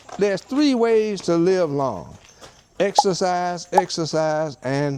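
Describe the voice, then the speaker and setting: A man with an American accent speaks in a high pitch with lively intonation over noticeable background noise. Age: 70s. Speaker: retired surgeon. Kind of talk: casual home tour chat.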